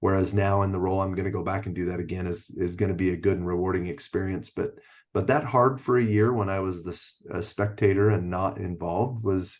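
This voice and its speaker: Over a quiet background, a man with a Utah accent speaks at a very fast pace with hardly any pauses, his very deep, low voice following a fairly even intonation. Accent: Utah American English. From Utah (Orem). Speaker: athletic director and PE teacher. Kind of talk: podcast interview.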